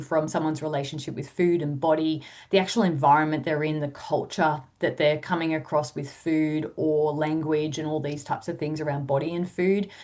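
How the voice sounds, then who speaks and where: Her intonation is fairly even. This woman speaks with a very deep, low pitch in an Australian accent. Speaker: sports dietitian. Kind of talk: webinar presentation. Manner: fast.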